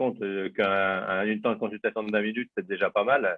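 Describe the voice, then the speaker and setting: His pitch is medium for a man, its variation ordinary, and his delivery very fast. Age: 60s. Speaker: doctor. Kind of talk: questions in a webinar.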